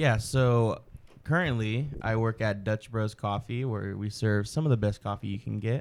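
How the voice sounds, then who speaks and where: This man has an ordinary speaking voice with a medium pitch, ordinary pitch variation and a moderate pace. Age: 20s. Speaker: barista and YouTuber. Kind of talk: casual chat. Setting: studio.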